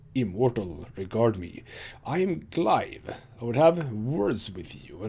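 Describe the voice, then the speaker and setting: A man does a put-on character voice that is creaky and medium in pitch. He delivers it at a fairly slow pace. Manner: formal, commanding.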